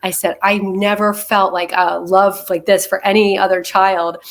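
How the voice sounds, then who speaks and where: A woman talks in a plain, everyday voice at a medium pitch. Her pace is moderate. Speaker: political party committee member. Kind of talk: casual chat.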